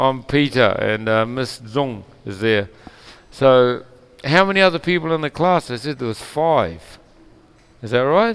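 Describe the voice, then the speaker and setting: The speaker has a New Zealand accent and lively intonation. The pace is fairly slow, with long, frequent pauses. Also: man, medium pitch for a man. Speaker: English teacher. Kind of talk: online language lesson.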